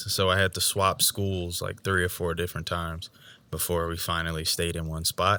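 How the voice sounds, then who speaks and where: A man with a very deep, low pitch and a bright, sharp tone speaks with an American accent and fairly even intonation on a very clean recording with a silent background. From Georgia, US. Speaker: podcast co-host. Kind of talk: casual chat.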